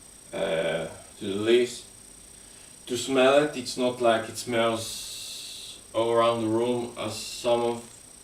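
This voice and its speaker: The speech comes at a very slow pace with long, frequent pauses and monotone, flat intonation. Noticeable background noise and audible room echo fill the recording. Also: man. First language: not English. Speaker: live streamer. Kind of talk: casual chat. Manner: halting.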